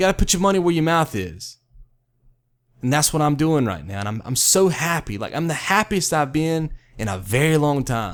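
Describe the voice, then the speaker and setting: Loud and passionate, a man with a fairly high voice speaks at a moderate pace with very wide pitch swings on a very clean recording with a silent background. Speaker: video creator. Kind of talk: monologue vlog. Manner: loud, stern; fierce, passionate.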